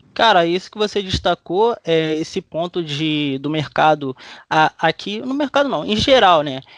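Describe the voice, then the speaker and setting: Against a quiet background, the speaker moves along fairly slowly with lively intonation, the sound dry and close with no echo. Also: man, high pitch for a man. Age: 20s. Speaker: podcast host. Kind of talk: interview. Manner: animated.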